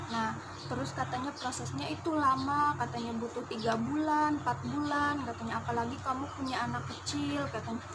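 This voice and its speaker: A woman talks at a fairly quick pace with hardly any pauses. Noticeable background noise and audible room echo fill the recording. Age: 20s. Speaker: migrant domestic worker, vlogger. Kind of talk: personal storytelling vlog. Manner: casual, chatty.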